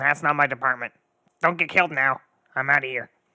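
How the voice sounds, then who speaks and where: Putting on a character voice, a man speaks fairly quickly at a medium pitch. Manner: curt.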